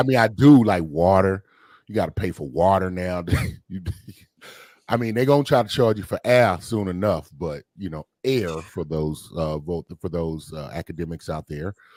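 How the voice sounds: A man with an American accent and a very deep, low voice, lively in intonation, at a moderate pace with big swings in loudness. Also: dry, close sound with no echo.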